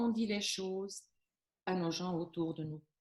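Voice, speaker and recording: A woman with a Flemish accent and a dark, mellow tone. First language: Flemish (speaking French). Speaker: business coach on workplace stress. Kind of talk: interview giving advice. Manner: hesitant, many fillers and restarts.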